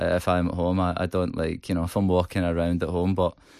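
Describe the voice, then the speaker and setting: The speaker has a Glaswegian accent. The recording is very clean, with a silent background. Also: man. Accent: Glaswegian Scottish. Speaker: rock band singer. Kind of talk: radio interview. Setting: radio studio. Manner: hesitant, many fillers and repetitions.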